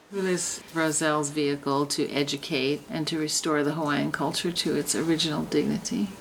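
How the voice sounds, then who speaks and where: Noticeable background noise runs under a woman with an American accent and a very deep, low pitch. She talks at a fairly quick pace with fairly even intonation and hardly any pauses. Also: very even loudness. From New York. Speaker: hula student. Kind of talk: interview.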